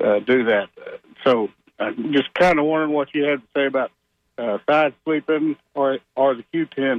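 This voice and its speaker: A man talks in a normal speaking voice. His pitch is fairly high. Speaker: caller, former wrestler. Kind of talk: call-in question. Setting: phone call.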